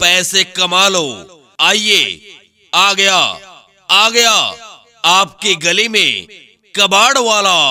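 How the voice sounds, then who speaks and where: A man projects a raised, high voice at very even loudness and fairly even intonation, with long, frequent pauses. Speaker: announcer. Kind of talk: street hawker loudspeaker announcement.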